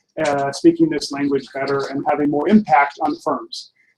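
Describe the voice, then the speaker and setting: The speaker is a man. He talks at a fairly quick pace with ordinary pitch variation. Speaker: online course instructor. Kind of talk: live Q&A wrap-up. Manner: fast.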